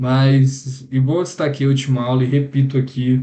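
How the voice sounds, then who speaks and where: Intonation stays monotone and flat in a dark, mellow voice. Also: man. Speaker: computer science student. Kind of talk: lecture. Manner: fast; casual.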